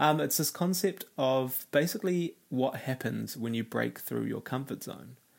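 A man speaks with vocal fry at a medium pitch. His pace is moderate and his intonation fairly even.

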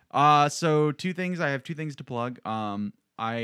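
Recorded very cleanly against a silent background, with a dry, close sound and no echo, a man speaks at a moderate pace with lively intonation. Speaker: improv comedian. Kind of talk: casual chat. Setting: studio.

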